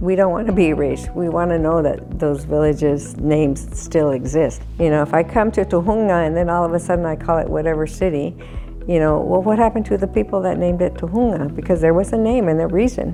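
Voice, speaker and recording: With music playing in the background, a woman talks at a fairly quick pace. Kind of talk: interview answer.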